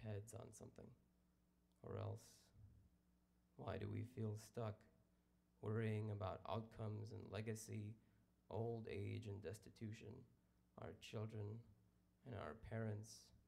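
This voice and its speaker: A man speaks with vocal fry and a dark, mellow tone at a fairly low pitch. His pace is fairly slow, his intonation monotone and flat, and his pauses long and frequent. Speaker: poet. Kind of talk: poetry reading.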